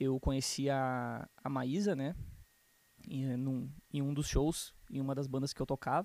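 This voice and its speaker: A man speaks at a fairly slow pace. His tone is dark and mellow, with fairly even intonation. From Rio Grande do Sul, Brazil (Canoas, near Porto Alegre). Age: 20s. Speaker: church musician. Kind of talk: casual interview.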